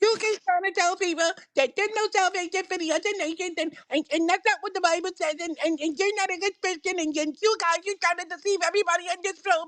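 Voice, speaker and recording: In a put-on character voice, the speaker rattles along at a very fast pace with an extremely high, whiny pitch and hardly any pauses. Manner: rambling, accusatory.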